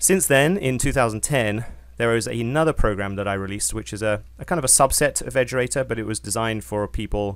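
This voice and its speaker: This man speaks with a British accent and a fairly low pitch. His pace is fairly quick, and his pitch varies an ordinary amount. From Britain. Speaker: software company founder and trader. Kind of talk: webinar presentation. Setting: online webinar. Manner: hesitant, many fillers.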